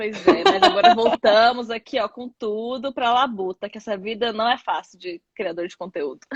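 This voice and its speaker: Her loudness swinging widely, a woman speaks at a moderate pace with hardly any pauses. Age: 30s. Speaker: content creator, social media manager. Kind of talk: casual interview chat. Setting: Instagram live. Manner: halting, many fillers.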